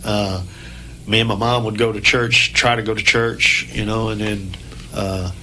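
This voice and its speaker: With noticeable background noise and audible room echo, a man speaks at a fairly slow pace in a flat monotone at a fairly low pitch. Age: 60s. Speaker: musician. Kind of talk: casual chat. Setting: radio studio.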